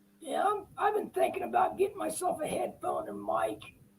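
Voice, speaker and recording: A man speaks quietly at a moderate pace, his voice sounding strained. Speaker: model railroad hobbyist. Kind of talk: casual chat. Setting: live video stream. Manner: quiet, strained.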